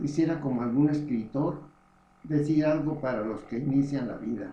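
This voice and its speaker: In a room with audible echo, a man with a fairly high pitch and a dark, mellow tone speaks somewhat breathily with fairly even intonation. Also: moderate pace. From Mexico, Morelia, Michoacán. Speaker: memoir author. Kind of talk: reading aloud.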